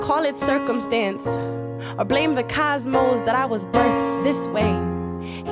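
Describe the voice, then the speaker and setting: Over music in the background, a woman speaks at a very slow pace with hardly any pauses and very even loudness. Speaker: spoken word poet. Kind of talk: spoken word poetry performance.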